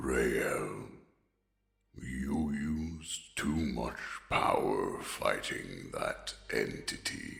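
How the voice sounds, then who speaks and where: A man growls in a put-on character voice at a very slow pace, with audible echo. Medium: audio drama. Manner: casual, gruff warmth.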